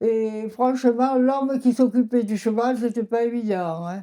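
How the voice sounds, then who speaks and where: This woman's voice sits fairly high with a dark, mellow tone. She speaks at a very slow pace. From Châteauneuf-du-Pape, southern France. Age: 80s+. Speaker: winegrower family elder. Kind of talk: interview answer.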